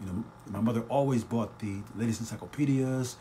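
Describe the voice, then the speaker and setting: A man talks with fairly even intonation while noticeable background noise runs underneath. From Trenton / Northeast Philadelphia area, US. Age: 60s. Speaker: podcast host. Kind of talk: live-streamed podcast monologue. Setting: home kitchen, live broadcast.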